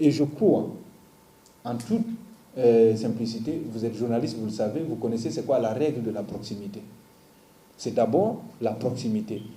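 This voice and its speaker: Pausing long and often, a man with a Guinean accent speaks at a moderate pace and medium pitch, with ordinary pitch variation and audible room echo. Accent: Guinean accent, kept. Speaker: comedian. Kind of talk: interview.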